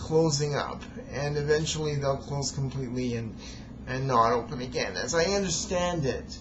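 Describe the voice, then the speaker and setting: A moderate pace over noticeable background noise. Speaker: amateur storyteller reading own recording. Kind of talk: video introduction monologue. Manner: halting, repeats words; hesitant with many fillers.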